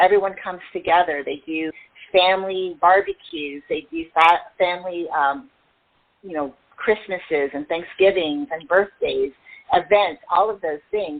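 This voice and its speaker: In a normal speaking voice, a woman talks at a fairly low pitch with ordinary pitch variation and big swings in loudness. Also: fairly slow pace. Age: 60s. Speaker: self-care coach and motivational speaker. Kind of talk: interview.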